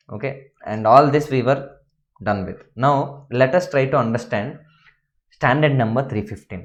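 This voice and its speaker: A man speaks at a moderate pace in a room with audible echo. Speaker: accounting lecturer. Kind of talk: lecture.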